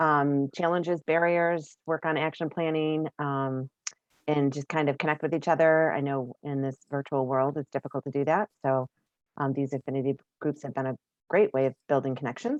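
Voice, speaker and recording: A woman speaks with fairly even intonation against a quiet background. The sound is dry and close, with no echo. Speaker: network consultant. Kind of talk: virtual meeting presentation. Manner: fast.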